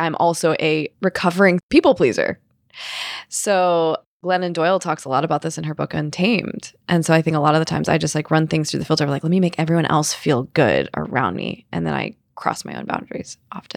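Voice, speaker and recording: A woman's very deep, low voice with vocal fry and ordinary pitch variation, fairly quick in pace, on a very clean recording with a silent background and a dry, close sound with no echo. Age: 30s. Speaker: non-binary creative, photography muse. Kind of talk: casual chat. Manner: animated.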